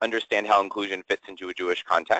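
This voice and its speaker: A man with an American accent talks at a very fast pace, the sound dry and close with no echo. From US Midwest, southwest Ohio. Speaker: LGBTQ inclusion educator. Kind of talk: webinar presentation.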